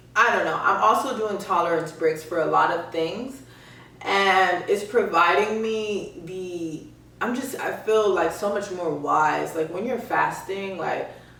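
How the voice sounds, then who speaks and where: Amid audible room echo and noticeable background noise, a woman with medium pitch and ordinary pitch variation speaks fairly slowly. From Miami. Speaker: podcast host. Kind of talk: casual monologue. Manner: varies cadence and voices; halting.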